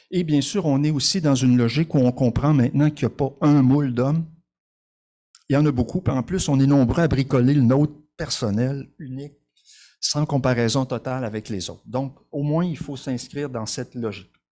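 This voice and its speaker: At a moderate pace, a man with a fairly high pitch and a dark, mellow tone speaks on a very clean recording with a silent background. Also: ordinary pitch variation. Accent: Quebec. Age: 60s. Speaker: social worker and conference speaker. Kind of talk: conference presentation. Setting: conference with audience.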